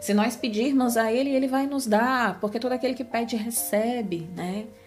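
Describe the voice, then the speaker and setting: Over music in the background, a woman talks at a moderate pace with fairly high pitch and ordinary pitch variation. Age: 30s. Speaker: podcast host, Bible teacher. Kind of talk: devotional Bible reflection.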